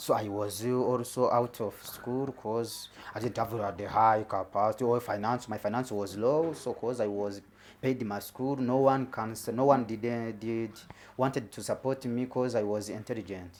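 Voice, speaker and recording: The speaker is a man with a Rwandan accent. His pitch sits in the medium range. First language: Kinyarwanda. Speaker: comedian. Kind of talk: stand-up. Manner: halting, many repetitions.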